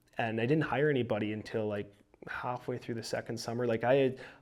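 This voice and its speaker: Speaking in a Canadian Prairie accent, a man uses a medium pitch with ordinary pitch variation. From Saskatchewan, Canada. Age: 20s. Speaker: young entrepreneur, lawn care business owner. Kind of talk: podcast interview.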